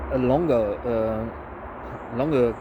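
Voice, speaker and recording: Mumbling at a very slow pace, a man talks amid noticeable background noise and audible room echo. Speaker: woodcarving video creator. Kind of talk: tutorial. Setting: outdoors in autumn woods. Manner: mumbling to himself, hesitant with many fillers.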